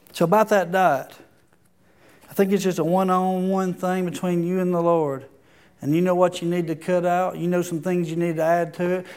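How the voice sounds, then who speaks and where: A man's high-pitched, monotone, flat voice at a fairly quick pace, with audible room echo. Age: 40s. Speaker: pastor. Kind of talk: sermon.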